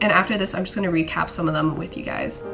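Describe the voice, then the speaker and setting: The speaker is a woman with fairly even intonation. Noticeable background noise can be heard. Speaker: student. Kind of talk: casual vlog talk to camera.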